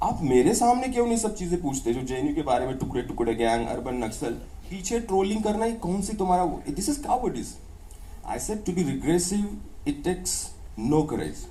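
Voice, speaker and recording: With a Maharashtrian accent and audible room echo, a man speaks at a moderate pace in a high pitch with very wide pitch swings. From India, North Maharashtra, village near Dhule. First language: Ahirani. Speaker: professor. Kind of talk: public conversation.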